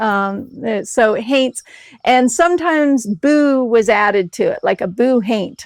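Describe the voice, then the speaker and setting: With an American accent, a woman speaks at a high pitch with lively intonation and a fairly slow pace. The sound is dry and close, with no echo. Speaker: artist in a collaborative art project. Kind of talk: interview talk about creative process.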